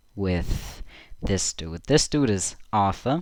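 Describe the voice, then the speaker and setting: A man is speaking. He has a German accent. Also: very clean recording, silent background. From Germany. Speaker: streamer. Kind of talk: casual livestream commentary. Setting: live stream from home. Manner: halting.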